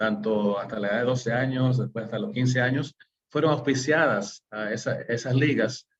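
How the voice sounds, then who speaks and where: Somewhat breathy and with a slight non-native accent, a man speaks at a medium pitch and a fairly slow pace with ordinary pitch variation. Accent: slightly non-native Spanish. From US, New York City. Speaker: webinar host, management systems consultant. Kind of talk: webinar presentation. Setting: online webinar. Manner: halting, many fillers.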